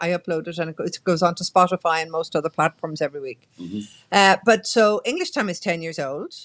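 At a moderate pace with ordinary pitch variation, the voice carries an Irish accent in a dry, close recording with no echo. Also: woman. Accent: Irish (Mayo). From Ireland, County Mayo. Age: 60s. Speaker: journalist and radio presenter. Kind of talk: casual chat.

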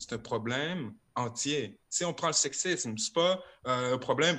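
A man speaks at a medium pitch with lively intonation and a bright, sharp tone. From Quebec City (Limoilou). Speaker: rapper. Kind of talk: casual chat. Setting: video call.

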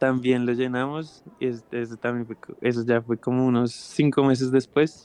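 In a Bogotá accent, a man speaks at medium pitch with monotone, flat intonation. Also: moderate pace. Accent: Bogotá Colombian Spanish. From Bogotá, Colombia. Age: 20s. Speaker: singer-songwriter. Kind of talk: casual interview chat.

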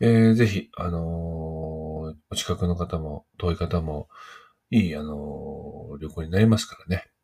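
Very slow and somewhat breathy, a man speaks with a very deep, low pitch, a dark, mellow tone, and ordinary pitch variation. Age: 40s. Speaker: poet and podcast host. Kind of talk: solo casual talk. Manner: many filler words.

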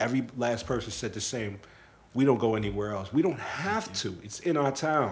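Lively, medium-pitched male speech with audible echo from the room. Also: moderate pace. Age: 30s. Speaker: podcast host. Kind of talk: casual chat.

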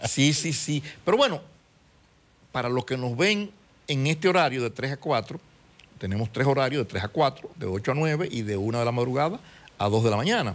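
A man's medium-pitched voice, lively in intonation, at a moderate pace with long, frequent pauses. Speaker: TV show host. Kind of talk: TV talk show chat.

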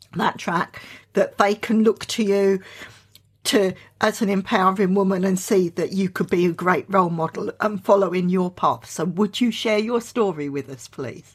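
A woman's voice comes through somewhat breathy at a moderate pace. The recording is very clean, with a silent background. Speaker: podcast host. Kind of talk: casual interview.

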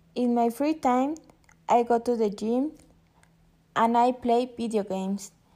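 A woman with a Spanish accent and a dark, mellow tone speaks at a high pitch and fairly slow pace, keeping her intonation fairly even. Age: 20s. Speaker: university student. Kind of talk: prepared self-introduction for a class. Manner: halting.

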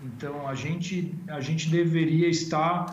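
Male speech amid noticeable background noise, with a room echo clearly audible. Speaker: agribusiness consultancy executive. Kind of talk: live interview. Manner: halting, many filler sounds.

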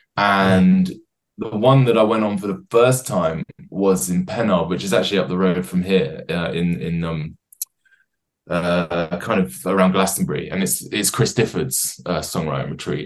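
An English-accented man with a very deep, low pitch and vocal fry, at a moderate pace with ordinary pitch variation. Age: 20s. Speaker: singer-songwriter. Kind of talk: casual chat. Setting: video call.

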